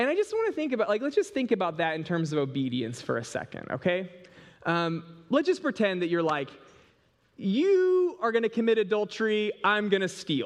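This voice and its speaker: A man's high voice with very wide pitch swings and a fairly quick pace over a quiet background. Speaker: pastor. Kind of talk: sermon. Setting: church. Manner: casual, repetitive stammering.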